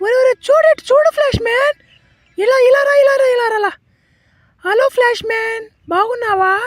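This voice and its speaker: A woman does a cartoonish character voice at an extremely high pitch, keeping a moderate pace. The sound is dry and close, with no echo. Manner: wheedling, dramatic.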